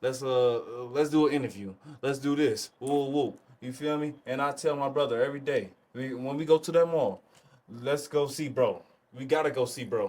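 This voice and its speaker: A man's plain, everyday voice, fairly high in pitch, with fairly even intonation at a moderate pace. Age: 20s. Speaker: clothing brand co-founder. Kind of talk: casual chat.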